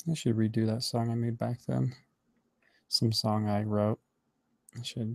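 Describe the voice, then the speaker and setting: The speaker mumbles at a fairly slow pace with long, frequent pauses. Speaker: animator streaming his work. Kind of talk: casual live-stream commentary while working. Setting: live online stream. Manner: mumbling to himself.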